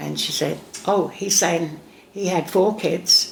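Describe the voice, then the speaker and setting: Over noticeable background noise, a woman speaks fairly slowly in a Cockney accent. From England. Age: 70s. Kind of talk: interview answer. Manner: sassy, lively storytelling.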